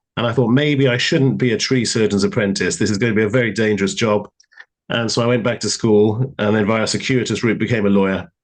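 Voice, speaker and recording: Very fast speech in a British accent, with very even loudness and ordinary pitch variation. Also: man, medium pitch for a man. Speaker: lawyer. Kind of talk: live panel interview.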